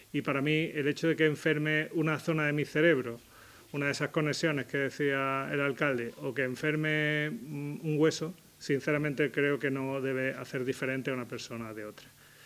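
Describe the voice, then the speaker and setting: In a very clean recording with a silent background, a man speaks at a moderate pace. His pitch is fairly high and his intonation fairly even. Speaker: psychiatrist giving a talk. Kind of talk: public talk.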